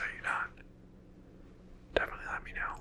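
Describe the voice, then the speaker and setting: Whispering over noticeable background noise. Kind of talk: ASMR LEGO building video, casual talk to camera. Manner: whispered.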